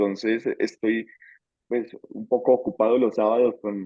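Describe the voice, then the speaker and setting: A man with a Bogotá accent talks at a moderate pace and medium pitch. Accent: Bogotá Colombian Spanish. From Colombia, Bogotá. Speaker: theology course instructor. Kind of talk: online class introduction. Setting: video call. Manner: hesitant, many fillers.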